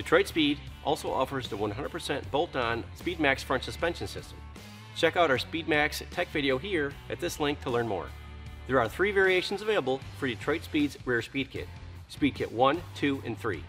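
Faint music plays in the background as a man speaks at a moderate pace. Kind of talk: product presentation. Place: garage.

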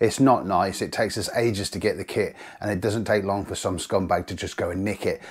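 The background is quiet as a man talks at a fairly quick pace, his pitch fairly low. He has an ordinary speaking voice. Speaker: angler vlogger. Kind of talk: casual vlog chat. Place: home room.

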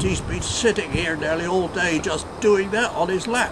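A man speaks at a high pitch with ordinary pitch variation. Noticeable background noise is audible. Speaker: knot tyer, first president of a knotting guild. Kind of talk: interview answer. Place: waterside. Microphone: camera far.

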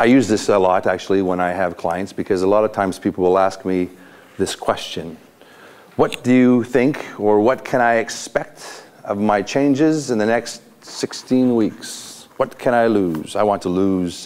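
A man talks at a moderate pace with a fairly low pitch. His pitch varies in an ordinary way. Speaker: motivational speaker, coach. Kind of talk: motivational talk to a group. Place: hall. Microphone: lapel.

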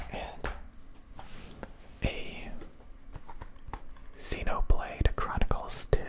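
A man whispers. His pace is very slow. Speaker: ASMR creator. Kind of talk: ASMR whisper ramble showing handheld game consoles and games. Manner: whispered, slow, soft-spoken. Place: home room. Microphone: studio mic.

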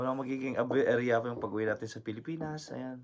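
A man is talking in a medium pitch. His pitch varies in an ordinary way. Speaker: vlogger. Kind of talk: casual vlog talk. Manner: halting.

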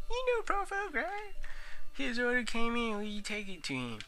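A put-on character voice with fairly high pitch comes through over clear background noise. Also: moderate pace. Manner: acted character voice.

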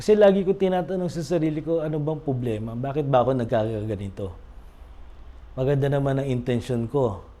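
A man's fairly quick delivery with lively intonation. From Philippines. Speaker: recovering gambling addict and recovery coach. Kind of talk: testimony.

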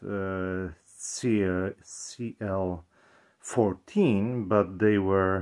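Over a quiet background, a man with a very deep, low voice talks at a very slow pace in a monotone, flat intonation, with long, frequent pauses. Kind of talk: casual talk to camera. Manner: hesitant, many fillers. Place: home room. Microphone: camera far.

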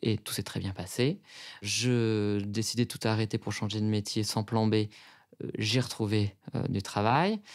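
A man's fairly low, monotone voice with flat intonation, on a very clean recording with a silent background. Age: 30s. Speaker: consultancy director. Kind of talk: testimony. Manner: hesitant, many fillers.

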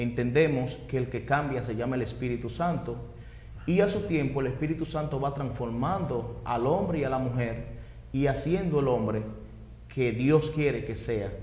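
A man speaks at a medium pitch and a moderate pace. Audible room echo surrounds his voice. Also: ordinary pitch variation. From Dominican Republic, Maimón de Bonao; Dominican Republic. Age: 40s. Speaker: interviewee. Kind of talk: testimony. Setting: at home. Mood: earnest, reflective. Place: studio. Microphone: lapel.

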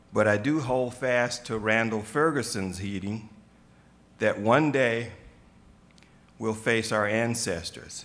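The speech moves at a slow pace with long, frequent pauses, a fairly bright tone and ordinary pitch variation. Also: man, fairly low pitch for a man.

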